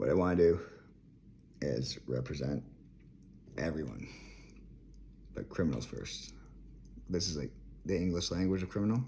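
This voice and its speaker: Speaking at a moderate pace with long, frequent pauses, a man uses a very deep, low pitch with vocal fry, a dark, mellow tone and lively intonation. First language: French. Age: 30s. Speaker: vlogger. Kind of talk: rant. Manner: rambling, jumping between topics.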